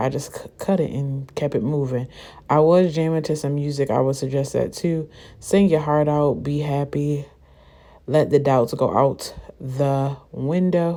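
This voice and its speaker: A woman with a very deep, low pitch and a dark, mellow tone speaks with fairly even intonation on a very clean recording with a silent background. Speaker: beauty vlogger. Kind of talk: tutorial. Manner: fast.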